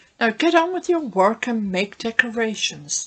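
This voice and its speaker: A female-sounding voice puts on a shrill character voice. She delivers it at a fairly slow pace. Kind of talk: children's story reading. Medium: read story. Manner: snappish, bossy, threatening.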